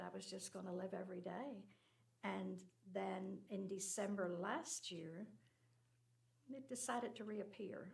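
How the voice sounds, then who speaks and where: A woman speaks with an American accent and vocal fry. Room echo is audible around her voice. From Northern Ireland. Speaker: church member sharing cancer story. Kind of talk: personal testimony.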